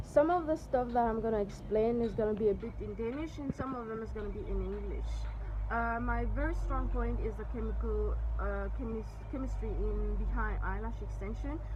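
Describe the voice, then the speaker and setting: A woman with a French accent at a moderate pace, amid audible room echo and noticeable background noise. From Mauritius. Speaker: eyelash extension trainer and salon owner. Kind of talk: tutorial. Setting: outdoors at the beach. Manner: halting.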